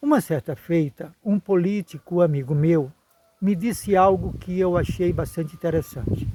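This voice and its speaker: A man's high-pitched, dark and mellow voice with lively intonation at a fairly slow pace. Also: dry, close sound with no echo. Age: 70s. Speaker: retired geography teacher. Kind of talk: video commentary monologue. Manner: formal.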